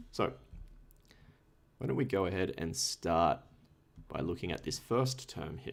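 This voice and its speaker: With an Australian accent and vocal fry, a man speaks at a very deep, low pitch with very wide pitch swings, at a fairly slow pace with long, frequent pauses. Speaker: tutor. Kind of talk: tutorial. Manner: casual.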